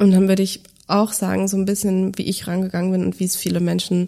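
Speaking at a fairly quick pace, a woman has a medium-pitched voice with a dark, mellow tone. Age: 30s. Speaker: finance educator, former journalist and podcast host. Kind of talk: interview conversation. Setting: studio, in person.

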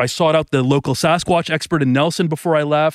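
A man with a Canadian accent talks at a fairly quick pace in an ordinary speaking voice. His pitch is fairly high, with ordinary pitch variation. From Canada, Thornhill outside Toronto. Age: 40s. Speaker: author. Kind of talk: interview conversation. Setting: outdoors by a lake.

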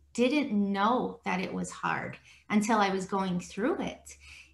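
There is noticeable background noise as a woman speaks at a fairly slow pace. Her pitch is fairly high, with ordinary variation. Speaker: podcast host. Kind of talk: interview conversation. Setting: video call.

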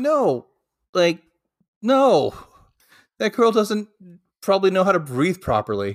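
A man with an American accent speaks at a high pitch and a fairly slow pace, his pitch swinging very widely. His loudness stays very even, with long, frequent pauses on a very clean recording with a silent background. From Washington State, US. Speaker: podcast co-host. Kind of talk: casual chat.

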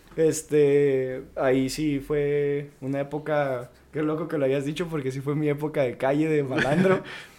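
A man's fairly high, monotone, flat voice at a fairly slow pace with hardly any pauses, over noticeable background noise. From northern Mexico, Chihuahua city. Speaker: mixed martial arts fighter. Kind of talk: casual chat.

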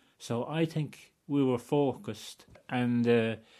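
In a Wexford accent, a man talks over a silent background in a very clean recording. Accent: rural Wexford Irish. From Ireland, County Wexford. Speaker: retired hurler. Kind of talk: reminiscing interview.

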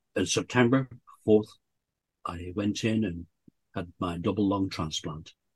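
A man with a fairly low, somewhat breathy voice speaks at a fairly slow pace, the sound dry and close with no echo against a quiet background. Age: 70s. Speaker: bucket list storyteller, lung transplant recipient. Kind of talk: casual interview.

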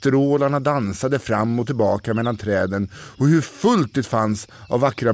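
Someone speaks in a natural reading voice with ordinary pitch variation.

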